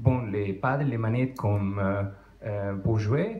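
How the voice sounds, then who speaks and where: A man speaks with a strong non-native accent. The recording has audible room echo and noticeable background noise. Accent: strong foreign. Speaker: conference speaker on retro computing. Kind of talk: technical talk to audience. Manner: halting, many hesitations.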